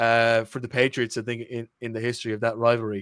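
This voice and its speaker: At a very fast pace, a man with an Irish accent talks at medium pitch, the sound dry and close with no echo on a very clean recording with a silent background. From Ireland. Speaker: podcast co-host. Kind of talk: casual chat.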